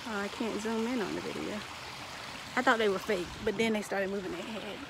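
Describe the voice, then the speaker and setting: A woman speaks in a dry sound with no echo, with noticeable background noise. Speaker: vlogger. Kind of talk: casual vlog chat. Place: garden. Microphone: phone near.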